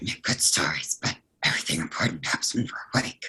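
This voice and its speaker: Using a put-on character voice, a man speaks at medium pitch, raspy in texture. His pace is very fast. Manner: gruff.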